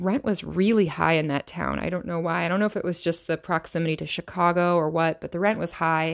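A woman with an American accent talks in an ordinary speaking voice, pitched fairly low. The recording is very clean, with a silent background. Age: 30s. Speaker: yoga teacher and podcast host. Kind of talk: solo podcast monologue.

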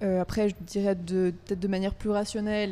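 A woman speaks at medium pitch and a moderate pace, her tone dark and mellow. Her intonation is monotone and flat. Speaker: university student, association committee member. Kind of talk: casual interview.

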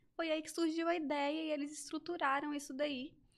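A woman's high-pitched voice at a moderate pace. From Brasília. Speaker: body-language therapist. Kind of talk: interview explaining a topic.

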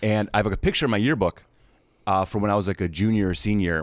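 In a very clean recording with a silent background, a man with an American accent talks at a fairly quick pace in an ordinary speaking voice with a fairly low pitch. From Wisconsin, US Midwest. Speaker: actor and comedian. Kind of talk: casual chat.

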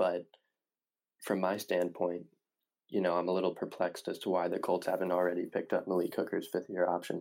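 A man with a Midwestern American accent and a very deep, low pitch speaks in a dark, mellow tone, monotone and flat, at a moderate pace. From Indiana (Indianapolis). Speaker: sports podcast host. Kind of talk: solo sports analysis podcast. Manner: hesitant, many fillers.

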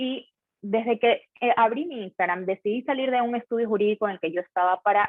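A woman with a medium-pitched voice and ordinary pitch variation talks fairly quickly. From Ecuador, Guayaquil. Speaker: lawyer. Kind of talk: casual interview. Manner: conversational.

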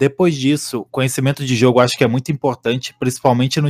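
Monotone and flat, a man's medium-pitched voice comes through dry and close with no echo, in a very clean recording with a silent background. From Santa Catarina, Brazil. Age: 20s. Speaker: esports analyst and coach. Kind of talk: podcast interview. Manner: halting.

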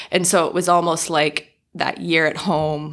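A woman in an American accent speaks at a very deep, low pitch, with vocal fry and fairly even intonation. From Southern California. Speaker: marriage and family therapist. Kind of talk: casual interview chat.

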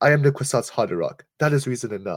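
Speaking at a fairly quick pace, a man with a medium pitch sounds somewhat breathy and uses lively intonation. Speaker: podcast co-host. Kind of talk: casual podcast discussion. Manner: casual, filler-heavy.

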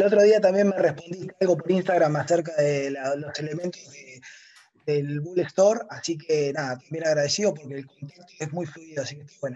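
An unremarkable speaking voice from a man, fairly high in pitch, with ordinary pitch variation, big swings in loudness and a fairly quick pace. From Argentina, Río Negro. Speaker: caller, retail investor. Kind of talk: casual chat. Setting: remote call from a hotel room.

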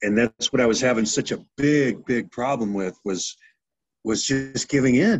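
Speaking with an American accent, a man uses an ordinary speaking voice at a moderate pace with ordinary pitch variation. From US, Navy family. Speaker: former pro football player. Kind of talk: casual chat.

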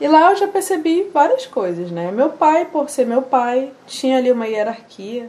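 The speaker goes at a fairly slow pace with hardly any pauses, the pitch swinging very widely. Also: woman, high pitch for a woman. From Amazonas, Brazil. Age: 20s. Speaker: singer. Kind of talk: interview.

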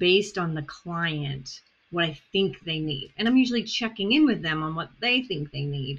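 Speaking with an Australian accent, a woman uses lively intonation and a fairly low pitch. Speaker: therapist and podcast host. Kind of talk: interview conversation.

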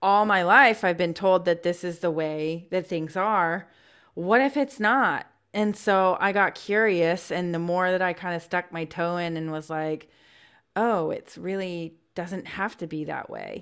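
A woman speaks in a plain, everyday voice, her pitch fairly low and its variation ordinary. She talks at a fairly slow pace in a very clean recording with a silent background. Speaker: podcast co-host. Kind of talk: casual chat.

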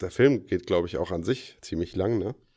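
Very deep and low, the man's voice has a dark, mellow tone. The recording is very clean, with a silent background. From Offenbach am Main, Hesse. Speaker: podcast co-host. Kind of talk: casual chat.

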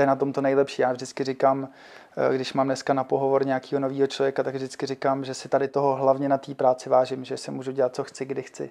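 Dark and mellow in tone, this voice rushes along at a very fast pace with monotone, flat intonation. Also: man, medium pitch for a man. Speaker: financial sales agent. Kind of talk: interview. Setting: studio. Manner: halting.

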